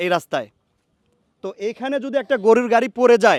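This man's intonation is lively, and the sound is dry and close with no echo. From Bangladesh, Pabna (Chalan Beel area). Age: 20s. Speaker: vlogger. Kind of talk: vlog. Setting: outdoors.

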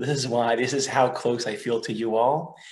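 Somewhat breathy, a man speaks with an Israeli accent. His pace is fairly slow. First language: Hebrew. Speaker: research fellow and teacher; teacher. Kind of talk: lecture. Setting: video call. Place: home room. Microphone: webcam.

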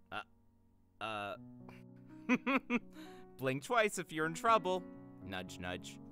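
A man uses a put-on character voice with a fairly low pitch and a fairly slow pace, leaving long, frequent pauses. Faint music plays in the background. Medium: dub. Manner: teasing, playful.

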